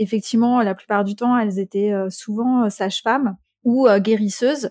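A woman's fairly high voice comes through dry and close, with no echo. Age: 40s. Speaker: thanatologist and medium. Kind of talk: casual chat.

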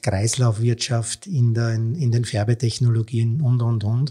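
On a very clean recording with a silent background, a man speaks at a fairly slow pace, somewhat breathy, with a dark, mellow tone at a medium pitch. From Austria. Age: 50s. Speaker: textile entrepreneur. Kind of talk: interview.

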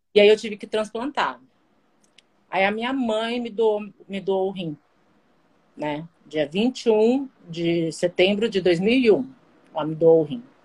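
Speaking very slowly with long, frequent pauses, a woman uses lively intonation and big swings in loudness. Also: medium pitch for a woman. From Guarujá, São Paulo coast, Brazil. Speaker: kidney transplant patient. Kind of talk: casual interview on a live stream. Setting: live video stream.

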